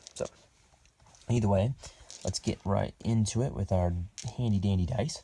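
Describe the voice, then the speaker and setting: A quiet man's fairly low, dark, mellow voice, somewhat breathy, with very even loudness, ordinary pitch variation, a moderate pace and long, frequent pauses. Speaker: board game channel host. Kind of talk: gameplay commentary. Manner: lowered voice, quiet.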